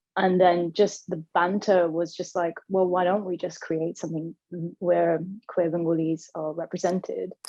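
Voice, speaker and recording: A woman speaks with a London accent in a fairly low, dark, mellow voice. Her intonation is flat and monotone at a moderate pace. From London, Hackney. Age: 30s. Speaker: queer community organiser. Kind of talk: radio interview.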